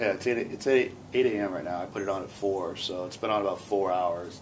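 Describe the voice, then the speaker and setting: Audible room echo carries a man's fairly low voice as he speaks at a moderate pace. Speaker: home cook showing barbecue. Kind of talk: cooking tutorial. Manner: talking low; casual with many fillers.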